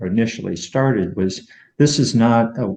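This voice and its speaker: Using a dark, mellow tone, a man speaks at a very slow pace with lively intonation. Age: 60s. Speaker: weight loss program member. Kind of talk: interview. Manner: halting, many fillers.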